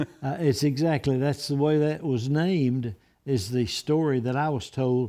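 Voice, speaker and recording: In an Alabama accent, a man talks at a moderate pace with a fairly high pitch and ordinary pitch variation. His tone is dark and mellow against a quiet background. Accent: Alabama Southern. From Alabama (Blount County). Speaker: retired pastor. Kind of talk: casual chat.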